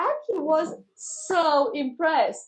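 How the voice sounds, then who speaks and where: With very wide pitch swings, a woman speaks in a non-native accent. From Romania. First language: Romanian. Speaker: teacher and trainer. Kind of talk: casual interview chat. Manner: animated.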